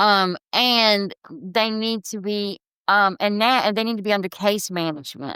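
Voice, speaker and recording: A woman speaks at a fairly slow pace in a medium pitch with ordinary pitch variation and a bright, sharp tone, in a very clean recording with a silent background and a dry, close sound with no echo. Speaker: founder of a survivor support program. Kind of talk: podcast interview.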